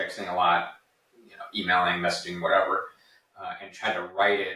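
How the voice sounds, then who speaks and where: A man speaking at a moderate pace, with big swings in loudness, long and frequent pauses, and audible room echo. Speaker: podcast co-host and author. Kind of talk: casual podcast conversation. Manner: matter-of-fact, succinct; repeats words, halting starts.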